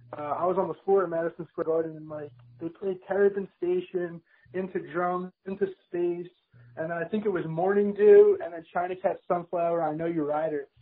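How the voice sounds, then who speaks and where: Speaking at a fairly quick pace, a man with a high voice holds a monotone, flat intonation while his loudness swings widely. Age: 20s. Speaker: music fan. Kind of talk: casual chat. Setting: phone call. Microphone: echoey line.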